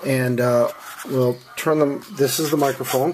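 The voice comes at a moderate pace over light background noise. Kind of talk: tutorial. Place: home room. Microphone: phone near.

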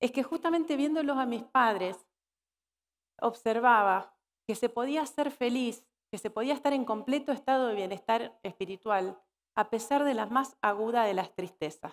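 Speech comes at a moderate pace over a quiet background. Its pitch varies in an ordinary way. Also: woman, fairly high pitch for a woman. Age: 40s. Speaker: keynote speaker on workplace wellbeing and purpose coaching; keynote speaker, purpose coaching. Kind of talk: conference keynote talk. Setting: stage with live audience at a corporate congress. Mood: warm, reflective. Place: stage.

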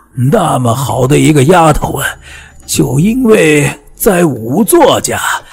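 Putting on a character voice, a man speaks slowly with lively intonation, fairly high pitch, vocal fry and a husky, rough edge.

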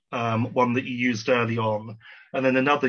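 Against a quiet background, a man speaks in a monotone, flat intonation. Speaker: audience member asking questions; audience member. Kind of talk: audience Q&A. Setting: video call. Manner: formal. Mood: polite, thoughtful. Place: home room. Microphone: video call.

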